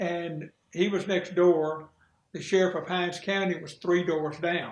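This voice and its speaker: A man speaks with a Mississippi accent. His pitch is high and his intonation fairly even. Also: fairly slow pace. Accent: US Southern (Mississippi). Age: 70s. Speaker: retired sheriff. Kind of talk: interview.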